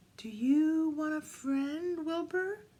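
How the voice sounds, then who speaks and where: A woman speaks in a put-on character voice. Her pitch is high. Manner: pleasant, kind.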